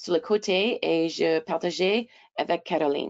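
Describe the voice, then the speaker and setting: A woman speaks at a very slow pace. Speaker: webinar moderator. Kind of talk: reading prepared notes aloud. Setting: online webinar. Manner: halting, stumbling over words.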